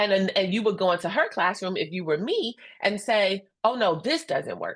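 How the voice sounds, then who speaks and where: In an American accent, the speaker keeps a moderate pace with lively intonation and an animated tone. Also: woman, medium pitch for a woman. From Indiana (Gary). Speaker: instructional coach and presenter. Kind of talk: professional webinar presentation. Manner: loud.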